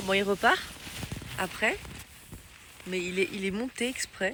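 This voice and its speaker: A woman talks at a moderate pace and medium pitch. Noticeable background noise is present. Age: 20s. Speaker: hiking vlogger. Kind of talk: casual talk to camera. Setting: outdoors. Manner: casual, chatty.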